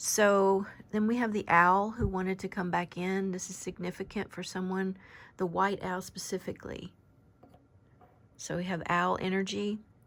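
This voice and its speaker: On a very clean recording with a silent background, a soft-spoken woman talks in a monotone, flat intonation. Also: medium pitch for a woman, moderate pace. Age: 50s. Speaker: oracle card reader. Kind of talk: spiritual card reading.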